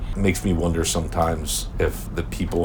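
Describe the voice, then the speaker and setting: Amid noticeable background noise and audible room echo, a man speaks with an American accent. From South Jersey, US. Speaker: interviewee, father. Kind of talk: documentary interview.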